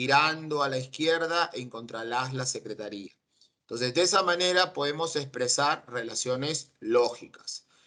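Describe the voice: Speaking at a moderate pace, a man has a bright, sharp tone, a medium pitch and ordinary pitch variation.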